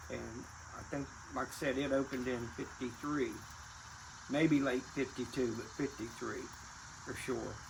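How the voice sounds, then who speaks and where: A man talks at a fairly slow pace with an American accent, leaving long, frequent pauses. His intonation is flat and monotone, with vocal fry. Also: medium pitch for a man. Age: 70s. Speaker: retired racing family elder. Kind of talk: casual reminiscing interview.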